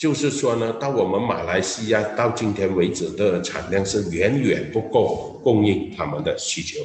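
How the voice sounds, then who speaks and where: A man talks fairly slowly with hardly any pauses. His pitch is medium and his intonation lively. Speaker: business executive. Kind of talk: interview. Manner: halting.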